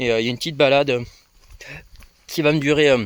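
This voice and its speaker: Words come very fast from this man. He keeps his intonation fairly even. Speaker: travel vlogger. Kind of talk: casual vlog monologue. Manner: hesitant, many fillers.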